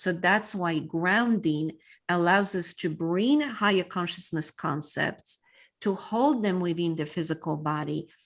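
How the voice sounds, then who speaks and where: Over a quiet background, a woman with a Polish accent speaks at a fairly slow pace. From Poland. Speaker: mindset coach and speaker. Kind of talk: podcast interview.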